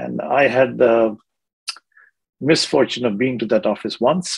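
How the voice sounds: A man with medium pitch speaks with vocal fry and a slightly husky edge.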